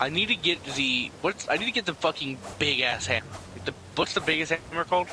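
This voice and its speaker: A man with a fairly high voice speaks at a fairly quick pace with lively intonation. Noticeable background noise runs behind him. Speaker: gamer co-op partner. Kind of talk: casual gaming chat. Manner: animated.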